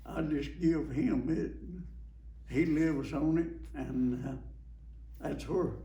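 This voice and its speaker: In a rural Alabama accent, the speaker talks at a very slow pace amid audible room echo. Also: man. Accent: Southern US (Alabama) rural. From US South. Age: 90s. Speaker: war veteran. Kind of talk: oral history interview. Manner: halting, repetitive.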